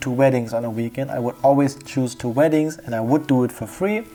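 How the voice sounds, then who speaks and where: The speaker has a calm tone, with noticeable background noise behind the voice. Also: man. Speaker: photographer. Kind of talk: tutorial.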